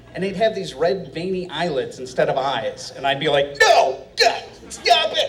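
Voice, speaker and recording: Noticeable background noise is present. A man speaks at a moderate pace. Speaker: storyteller. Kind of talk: live storytelling performance. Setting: live stage with audience.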